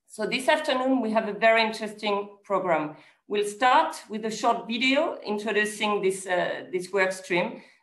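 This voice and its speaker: A woman talks at a moderate pace with hardly any pauses. Her pitch variation is ordinary, and there is audible room echo. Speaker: event moderator. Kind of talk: formal opening remarks. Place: office. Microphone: video call.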